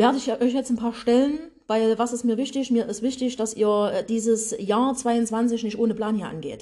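Here the speaker is a woman with a dark, mellow tone. Her pitch is fairly high. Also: moderate pace. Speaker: podcast host and business coach. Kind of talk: motivational monologue. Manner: animated, laughs often; energetic.

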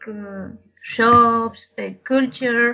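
Speaking in a Spanish accent, a woman uses a high pitch. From Madrid, Spain. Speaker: brewery lab scientist, interviewee. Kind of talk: interview, answering questions in a second language.

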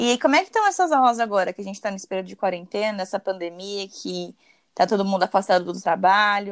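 A woman talks very fast at a medium pitch, with fairly even intonation and big swings in loudness. The sound is dry and close, with no echo. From São Paulo, Brazil. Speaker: podcast host, dentist. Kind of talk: casual interview.

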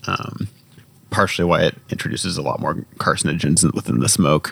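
In an American accent, a man with a very deep, low pitch speaks with ordinary pitch variation over noticeable background noise. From Indiana, US Midwest. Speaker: podcast host, UX designer. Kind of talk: casual chat. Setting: home garage with door open.

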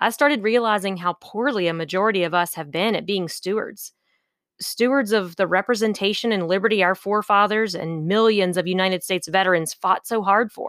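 In an American accent, a woman with a plain, everyday voice talks at a fairly quick pace and medium pitch with ordinary pitch variation, in a dry, close sound with no echo and a very clean recording with a silent background. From West Virginia, US. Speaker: political podcast host. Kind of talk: solo podcast monologue.

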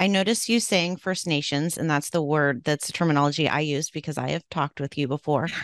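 A woman with a West Coast accent talks at a very fast pace with hardly any pauses, at a very deep, low pitch with ordinary pitch variation, in a dry, close sound with no echo over a quiet background. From Oregon, US. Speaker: podcast host. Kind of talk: interview.

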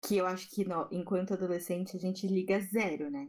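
In an unremarkable speaking voice, a woman talks at a moderate pace and medium pitch. The recording is very clean, with a silent background. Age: 20s. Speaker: fashion designer. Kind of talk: casual chat.

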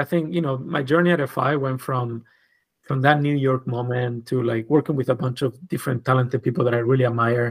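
A man with a Spanish accent at a fairly quick pace, in a very clean recording with a silent background. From southern Spain, Granada. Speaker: designer and creative director. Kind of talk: casual interview.

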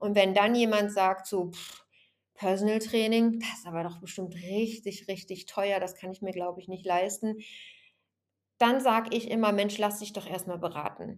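An unremarkable speaking voice from a woman at medium pitch, fairly even in intonation, at a moderate pace, with big swings in loudness. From Germany, Bergisches Land (Remscheid). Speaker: fitness trainer and podcast host. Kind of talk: solo podcast monologue.

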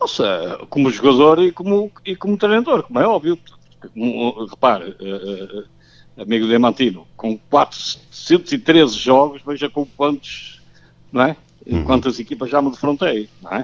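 Fairly slow speech with very wide pitch swings and long, frequent pauses. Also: man, fairly high pitch for a man. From Portugal, Porto. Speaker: football coach. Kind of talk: radio interview. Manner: halting.

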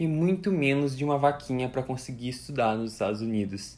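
This man talks with ordinary pitch variation. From Brazil, Curitiba (Paraná). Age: 20s. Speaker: student and content creator. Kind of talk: personal story monologue. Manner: animated.

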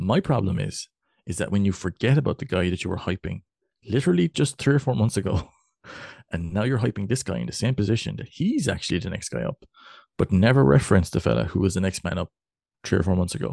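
Against a quiet background, a man with a fairly low pitch, dark, mellow tone and vocal fry speaks at a very fast pace with very wide pitch swings, in a dry, close sound with no echo. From Cork, Ireland. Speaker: podcast co-host. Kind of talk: casual sports podcast chat. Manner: jokey, chatty.

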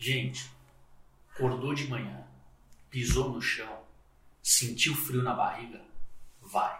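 The man speaks at a very slow pace with long, frequent pauses. Audible room echo surrounds his voice. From São Paulo city, Brazil. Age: 40s. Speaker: logistics executive. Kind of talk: casual interview chat.

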